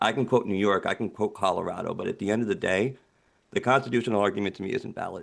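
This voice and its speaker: With a quiet background, a man's shaky voice at medium pitch moves at a very fast pace with ordinary pitch variation. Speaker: public witness at legislative hearing. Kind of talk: testimony.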